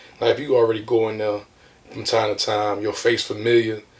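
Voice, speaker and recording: A man with an American accent speaks at a medium pitch and a fairly quick pace. His intonation is monotone and flat, with noticeable background noise behind him. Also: big swings in loudness. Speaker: rapper. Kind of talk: interview.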